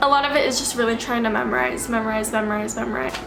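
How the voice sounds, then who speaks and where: Audible room echo and noticeable background noise around a woman's fairly high voice. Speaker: vlogger. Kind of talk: casual vlog talk. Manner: casual, chatty.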